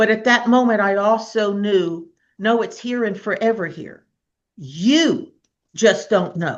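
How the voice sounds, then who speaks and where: A woman talks in an unremarkable speaking voice. She goes at a fairly slow pace with ordinary pitch variation. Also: fairly high pitch for a woman. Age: 60s. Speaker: minister and healer. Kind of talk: casual chat.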